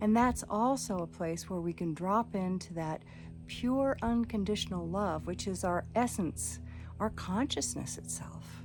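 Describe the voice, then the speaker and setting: Music plays in the background. The speaking goes at a fairly slow pace. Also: woman. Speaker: psychotherapist and meditation teacher. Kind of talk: channel introduction talk to camera.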